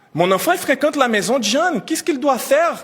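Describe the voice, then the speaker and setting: A man with a non-native accent speaks at an extremely high pitch, with very wide pitch swings. Noticeable background noise runs under his voice. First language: not French (speaking French). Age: 30s. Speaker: immigrant teacher trainer. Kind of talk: press conference testimony. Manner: emotional, halting.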